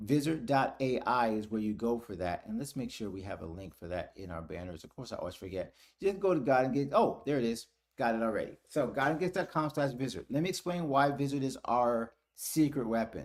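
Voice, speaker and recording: A man's medium-pitched voice at a fairly quick pace, with very wide pitch swings and big swings in loudness, on a very clean recording with a silent background. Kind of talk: live stream tutorial and chat. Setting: live stream. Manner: casual, conversational.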